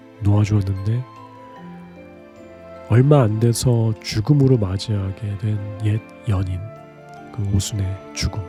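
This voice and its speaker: Over music in the background, a man talks in a calm, soothing tone at a fairly slow pace. His pitch is fairly low, and his intonation is fairly even. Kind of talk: sleep talk.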